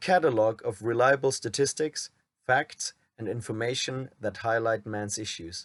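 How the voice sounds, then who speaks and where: A man at a moderate pace, ordinary pitch variation, dry, close sound with no echo, quiet background. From Germany. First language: German. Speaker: men's rights activist, YouTuber. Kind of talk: reading a script aloud.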